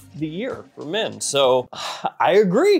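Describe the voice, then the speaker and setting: Faint music sits in the background. Over it, a man speaks fairly slowly. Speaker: fragrance reviewer. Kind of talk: commentary. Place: studio. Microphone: lapel.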